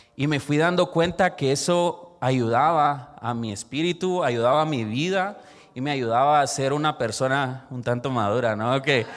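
At a moderate pace, a man talks in a fairly high pitch with ordinary pitch variation, a plain, everyday voice. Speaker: church youth leader. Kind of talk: sermon-style talk.

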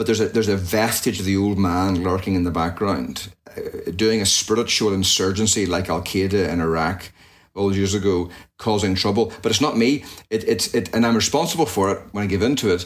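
A fairly low-pitched man in a Northern Irish accent, with ordinary pitch variation. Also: fairly quick pace. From Northern Ireland, near Belfast. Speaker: pastor. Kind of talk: interview conversation.

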